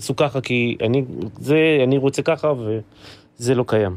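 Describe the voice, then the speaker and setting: A man speaking at a fairly slow pace with ordinary pitch variation. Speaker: musician and band leader. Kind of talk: casual chat.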